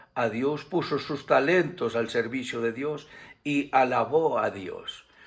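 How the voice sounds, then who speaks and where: A man's medium-pitched voice, very slow in pace, with ordinary pitch variation. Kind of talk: sermon / Bible teaching to camera. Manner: warm, affectionate.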